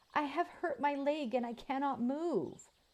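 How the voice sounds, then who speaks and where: A female-sounding voice puts on a character at a high pitch. It keeps a moderate pace. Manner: sad, pleading.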